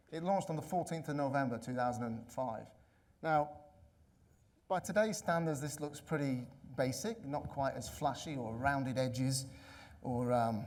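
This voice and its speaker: Pausing long and often, a man with an English accent speaks at a moderate pace in a fairly high voice with ordinary pitch variation and audible room echo. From England. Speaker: conference speaker, analytics consultant. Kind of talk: conference talk. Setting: stage with audience.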